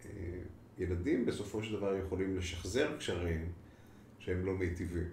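With audible room echo, a man speaks at a fairly slow pace in a very deep, low voice with ordinary pitch variation. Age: 50s. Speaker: clinical psychologist. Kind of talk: interview.

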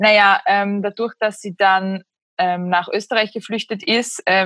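A woman at medium pitch, flat and monotone, with a Slovak accent at a very slow pace, in a very clean recording with a silent background and a dry, close sound with no echo. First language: Slovak (speaking German). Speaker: writer and essayist. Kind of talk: casual interview chat.

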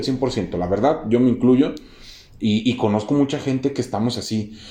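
With a Mexican accent, a man speaks at a medium pitch in a dark, mellow tone. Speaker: podcast host. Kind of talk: casual interview chat. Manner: halting, many fillers.

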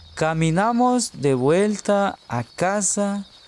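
A man's high-pitched voice at a very slow pace, with lively intonation and noticeable background noise. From Guatemala. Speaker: storyteller. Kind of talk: storytelling. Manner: slow, clear.

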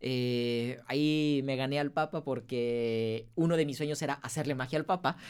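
In a plain, everyday voice, a man speaks at a fairly high pitch and a fairly slow pace, with fairly even intonation and hardly any pauses. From Mexico, Guadalajara. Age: 30s. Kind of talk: interview.

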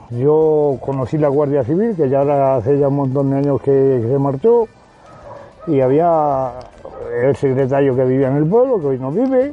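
A man talks at a moderate pace in a fairly high voice, with ordinary pitch variation. Music plays in the background. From Spain, Salamanca province. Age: 70s. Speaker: rural villager. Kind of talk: oral history interview.

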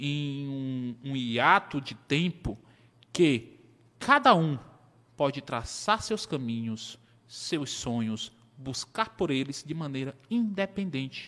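Speaking very slowly, a man with a fairly high pitch and a bright, sharp tone uses lively intonation on a very clean recording with a silent background. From Brazil, Piauí (Teresina). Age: 30s. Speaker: accountant. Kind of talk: interview.

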